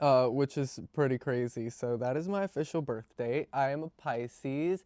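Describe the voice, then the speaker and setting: A man with an American accent at a fairly slow pace, ordinary pitch variation, and a dry, close sound with no echo over a quiet background. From Virginia, US. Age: 20s. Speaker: beauty vlogger. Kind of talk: casual makeup tutorial chat. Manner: hesitant, many fillers.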